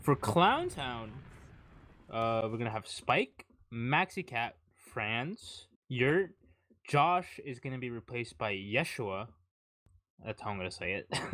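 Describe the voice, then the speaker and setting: Long, frequent pauses break up a man's fairly slow pace, and his intonation is lively. His tone is bright and sharp on a very clean recording with a silent background. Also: medium pitch for a man. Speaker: esports caster. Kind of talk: live commentary.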